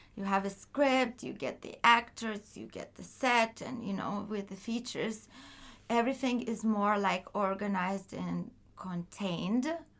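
A woman with a Lithuanian accent speaks at a fairly slow pace, her pitch varying in an ordinary way while her loudness swings widely. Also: medium pitch for a woman. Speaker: film producer. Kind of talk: interview.

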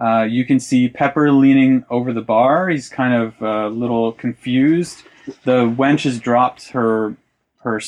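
Against a quiet background, someone plainly reads aloud.

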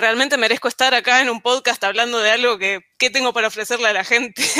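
Recorded very cleanly against a silent background, a woman's fairly high, bright, sharp voice stays monotone with flat intonation. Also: dry, close sound with no echo. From Argentina, Ushuaia. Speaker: software engineer. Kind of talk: casual panel chat.

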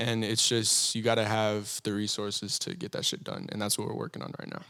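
A man with an American accent and a plain, everyday voice talks at a fairly quick pace, using medium pitch and fairly even intonation. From Texas. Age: young. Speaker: rapper. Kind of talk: casual chat.

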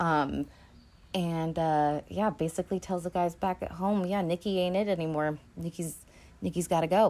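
A woman talks in a plain, everyday voice with fairly even intonation. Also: fairly low pitch for a woman, moderate pace, very clean recording, silent background. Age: 30s. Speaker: podcast host. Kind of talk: solo casual commentary. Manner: casual with frequent fillers.

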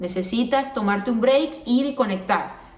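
A woman speaks at a fairly slow pace. There is noticeable background noise and audible room echo. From Venezuela. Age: 20s. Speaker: podcast host. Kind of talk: solo podcast monologue. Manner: casual, with frequent fillers.

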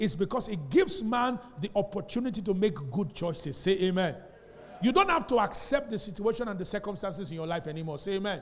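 Noticeable background noise sits behind a man speaking at a very fast pace. His high pitch, lively intonation and animated tone stand out. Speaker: pastor. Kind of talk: Sunday sermon delivered to a live congregation, heavy call-and-response. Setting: church with live congregation. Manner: animated, drilling the congregation with fill-in-the-blank questions; repeatedly demands responses, emphatic and exhortative.

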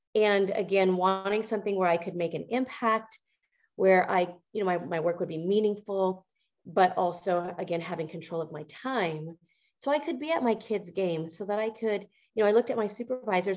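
A woman speaks with an American accent in a plain, everyday voice. Her pitch is medium with ordinary variation, and her pace is fairly quick. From Montana, US. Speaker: entrepreneur. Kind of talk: interview.

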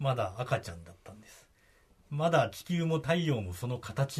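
A man's somewhat breathy voice at a fairly slow pace, with very wide pitch swings. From Kagoshima, Japan. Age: 50s. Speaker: radio reporter. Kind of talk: casual explanatory chat on radio.

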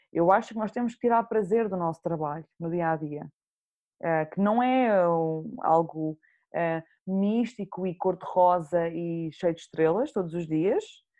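Here is a woman with an ordinary speaking voice at a fairly low pitch. She goes at a fairly slow pace with ordinary pitch variation. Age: 20s. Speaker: journalist. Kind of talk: casual chat.

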